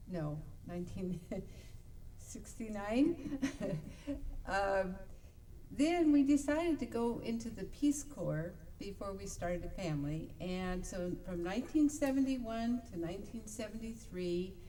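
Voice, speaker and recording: A medium-pitched woman with an American accent, fairly slow and with long, frequent pauses, her pitch swinging very widely amid audible room echo and noticeable background noise. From Idaho and California Bay Area. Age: 60s. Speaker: talk show co-host. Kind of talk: personal life story on internet radio show. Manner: hesitant, many fillers.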